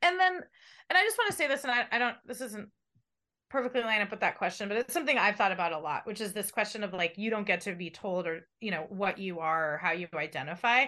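A woman's very fast, lively speech at a medium pitch, bright and sharp in tone, with an American accent over a quiet background. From San Diego, California. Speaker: journalist, radio co-host. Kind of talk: interview conversation. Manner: chatty.

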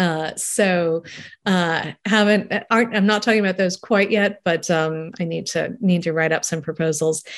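In an American accent, a woman speaks at a moderate pace and medium pitch with fairly even intonation. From New York, London and Paris. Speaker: food writer and screenwriter. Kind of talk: radio interview. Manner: halting, many fillers and repeats.

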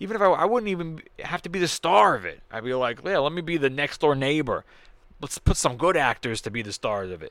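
A man speaks loudly and fairly quickly, in a fairly high voice with very wide pitch swings. The recording is very clean, with a silent background. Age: 30s. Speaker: comedian podcast host. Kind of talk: solo podcast monologue.

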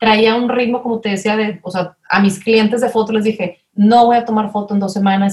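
A somewhat breathy woman speaks at a moderate pace. Her pitch is fairly high, with ordinary variation. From Mexico, Monterrey. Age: 30s. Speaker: family consultant. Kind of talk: interview conversation.

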